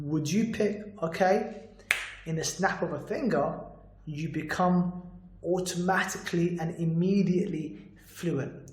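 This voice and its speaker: A man's high-pitched voice at a fairly slow pace, ordinary pitch variation, audible room echo and noticeable background noise. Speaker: motivational speaker on stuttering. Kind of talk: vlog monologue.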